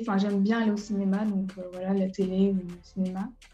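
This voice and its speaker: A woman's medium-pitched voice with monotone, flat intonation, with music in the background. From western France, Mauléon (Deux-Sèvres). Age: 20s. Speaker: young entrepreneur. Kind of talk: interview. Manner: hesitant, many fillers.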